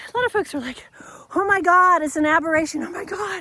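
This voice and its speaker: A woman speaks at a fairly quick pace with an extremely high pitch. Her voice is raised and projected. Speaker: leadership coach. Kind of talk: unscripted monologue. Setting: outdoors, hiking.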